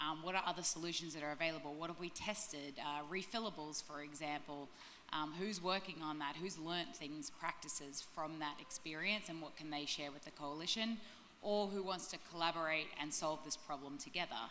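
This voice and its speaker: With an Australian accent, a woman talks at a fairly quick pace in a very deep, low voice with ordinary pitch variation, and room echo is audible. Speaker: sustainability director. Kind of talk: panel discussion. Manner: many filler ums.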